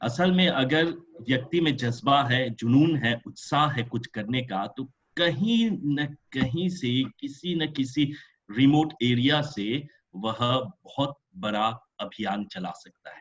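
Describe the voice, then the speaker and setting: His voice is somewhat breathy and fairly high, the voice of a man. His loudness swings a lot. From Mauritius. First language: French (also Bhojpuri) (speaking Hindi). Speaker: professor. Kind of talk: webinar lecture. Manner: hesitant, many fillers.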